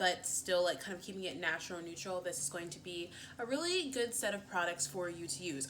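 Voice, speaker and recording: A woman's fairly low voice at a fairly quick clip, lively in intonation, with hardly any pauses, big jumps in loudness and noticeable background noise. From US Northeast, Philadelphia. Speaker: beauty vlogger. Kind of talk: casual chat. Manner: fast; animated.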